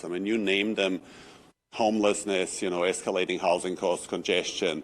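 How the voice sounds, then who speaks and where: Recorded very cleanly against a silent background, a man with a non-native accent talks at a fairly quick pace in a fairly low pitch. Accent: foreign. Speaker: architect. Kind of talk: public comment at council meeting.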